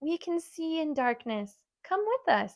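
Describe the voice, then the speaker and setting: A woman does a squeaky, put-on character voice at an extremely high pitch, with very wide pitch swings and a fairly slow pace. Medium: read story.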